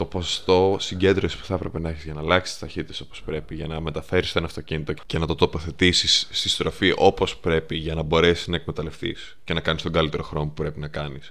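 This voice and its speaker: Words pour out at a very fast pace with hardly any pauses. The intonation is monotone and flat. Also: man, very deep, low pitch for a man. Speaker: podcast co-host. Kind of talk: casual chat.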